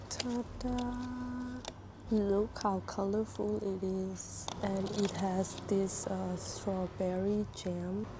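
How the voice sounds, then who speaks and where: A very slow woman's voice amid noticeable background noise and audible room echo. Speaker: food vlogger. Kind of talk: casual food vlog. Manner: soft-spoken.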